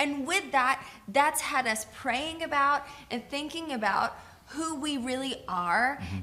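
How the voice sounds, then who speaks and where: With an American accent, a woman projects a raised, high-pitched voice at a fairly slow pace, her pitch varying in an ordinary way amid audible room echo. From US South (Georgia). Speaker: pastor. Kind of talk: co-taught sermon.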